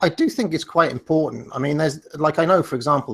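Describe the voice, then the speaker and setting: A man is speaking. He has an English accent. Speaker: online debater. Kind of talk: debate. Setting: discord call.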